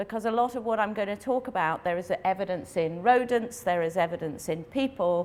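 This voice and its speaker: A woman speaks at a fairly high pitch with very wide pitch swings over noticeable background noise. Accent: RP. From England. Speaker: veterinary internal medicine specialist. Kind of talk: lecture. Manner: fast.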